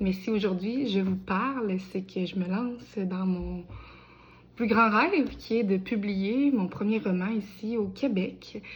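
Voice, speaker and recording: A woman's somewhat breathy voice at a very slow pace, medium in pitch with ordinary pitch variation, in a room with audible echo. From Quebec, Bellechasse. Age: 20s. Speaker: aspiring novelist. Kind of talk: crowdfunding appeal video. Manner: casual with many hesitations.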